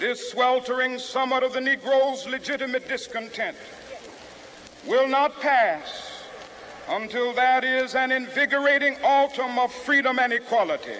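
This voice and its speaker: Through noticeable background noise, a man with an extremely high pitch uses a raised, projected voice at a fairly slow pace with fairly even intonation. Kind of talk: public speech to a crowd. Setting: outdoors, large crowd. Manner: impassioned, oratorical.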